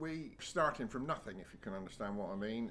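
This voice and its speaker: This voice has a West Country accent. The intonation is lively. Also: man. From West Country England. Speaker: cider maker. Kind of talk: interview. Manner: halting.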